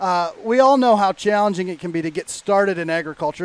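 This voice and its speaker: Very fast and high-pitched, a man talks with ordinary pitch variation in a dry, close sound with no echo. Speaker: agricultural magazine editor and podcast co-host. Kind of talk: casual podcast conversation.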